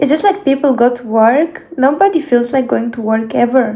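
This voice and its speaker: Through noticeable background noise, a woman with a non-native accent and a high pitch talks at a moderate pace. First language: not English. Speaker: beauty vlogger. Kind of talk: casual vlog talk to camera.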